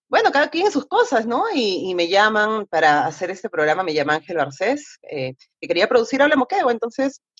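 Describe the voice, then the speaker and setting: A woman speaks at a fairly high pitch and moderate pace with hardly any pauses and very wide pitch swings. The sound is dry and close with no echo. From Moquegua, southern Peru. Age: 40s. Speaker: radio announcer and magazine presenter. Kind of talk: casual interview. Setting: video call.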